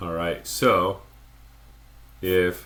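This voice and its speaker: A man speaks with a very deep, low pitch and fairly even intonation. Room echo can be heard. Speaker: math teacher. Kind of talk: lecture. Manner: slow.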